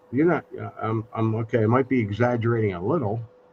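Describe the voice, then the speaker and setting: A man's medium-pitched voice at a fairly slow pace, over noticeable background noise. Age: 60s. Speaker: live stream host. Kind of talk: casual chat. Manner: halting.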